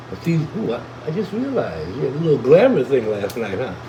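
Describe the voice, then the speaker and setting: A man with a fairly high pitch talks at a moderate pace. Noticeable background noise can be heard. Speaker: cannabis livestreamer. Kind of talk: casual chat.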